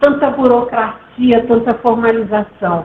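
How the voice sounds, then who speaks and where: Noticeable background noise accompanies a woman whose voice is high-pitched. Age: 70s. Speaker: nonprofit co-founder and speaker. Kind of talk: online talk. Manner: halting.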